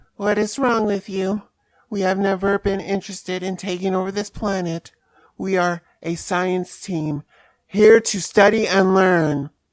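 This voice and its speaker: In a put-on character voice, a female-sounding speaker holds a medium pitch at a moderate pace. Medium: machinima. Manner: formal, no contractions.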